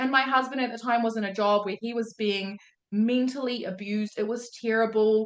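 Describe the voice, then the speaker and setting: A woman with a New Zealand accent speaks at a fairly quick pace in an animated tone with a fairly high pitch. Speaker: day trading mentor. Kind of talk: motivational talk on live call.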